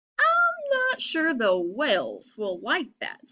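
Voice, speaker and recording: A woman uses a put-on character voice, extremely high in pitch, and speaks at a very slow pace. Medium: read story. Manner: curious, uncertain.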